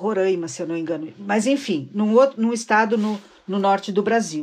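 A woman's medium-pitched voice with ordinary variation in pitch. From Rio Grande do Sul, city of Rio Grande. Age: 60s. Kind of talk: casual chat.

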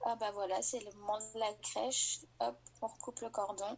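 A woman speaks with vocal fry in a monotone, flat intonation. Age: 20s. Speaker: nurse and new mother. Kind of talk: personal testimony in interview. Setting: remote call.

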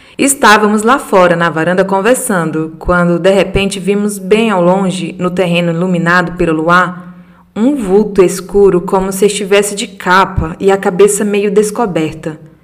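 Against noticeable background noise, a woman with medium pitch and fairly even intonation talks at a moderate pace with hardly any pauses. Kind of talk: reading aloud a ghost story sent by a listener, told in first person. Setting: solo podcast recording. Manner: measured, storyteller pacing with vivid detail.

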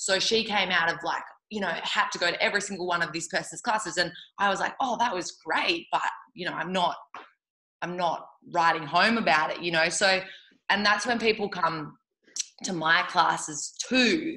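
Speaking with an Australian accent, a woman keeps a moderate pace at medium pitch with ordinary pitch variation. Her tone is bright, sharp and energetic. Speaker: yoga teacher. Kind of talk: casual interview chat. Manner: loud.

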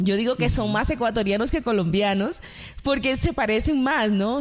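A woman speaks with a Dominican accent at a fairly quick pace. Her voice is fairly high, with lively intonation. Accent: Dominican Caribbean Spanish. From Dominican Republic.

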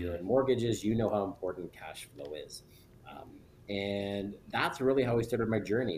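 A man with an ordinary speaking voice, pitched fairly low, talks at a moderate pace with ordinary pitch variation. His loudness swings widely. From northern Ontario, near Sudbury. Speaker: real estate broker and investor. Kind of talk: podcast interview.

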